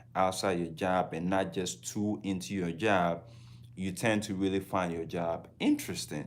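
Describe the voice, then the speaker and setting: With a Ghanaian accent, a man speaks in a very deep, low voice. His intonation is fairly even and his pace moderate. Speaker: travel vlogger. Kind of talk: casual livestream talk.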